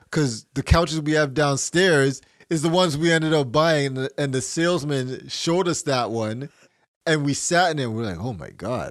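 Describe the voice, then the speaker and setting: At a moderate pace, a man talks with fairly high pitch and ordinary pitch variation. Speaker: podcast co-host. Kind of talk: casual chat. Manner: loud.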